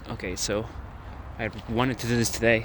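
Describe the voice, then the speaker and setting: With a non-native accent, a man speaks amid audible room echo. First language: not English. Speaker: vlogger. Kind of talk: casual monologue vlog. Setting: outdoors in a park at night. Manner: halting.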